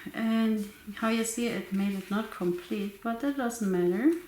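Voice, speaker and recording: A soft-spoken woman talks at a fairly slow pace and fairly high pitch with ordinary pitch variation, amid noticeable background noise and audible room echo. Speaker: crafting YouTuber. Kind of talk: tutorial. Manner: soft-spoken, quiet.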